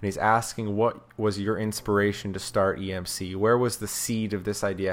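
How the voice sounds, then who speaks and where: In an unremarkable speaking voice, a man with an American accent talks at a moderate pace and a fairly low pitch. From US South. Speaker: podcast host. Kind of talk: casual interview chat. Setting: remote call.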